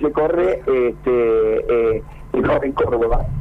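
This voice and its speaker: A man speaks with an Argentine accent. Noticeable background noise runs behind him. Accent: Rioplatense Argentine Spanish. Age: 60s. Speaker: veteran cyclist and race organizer. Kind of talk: radio interview.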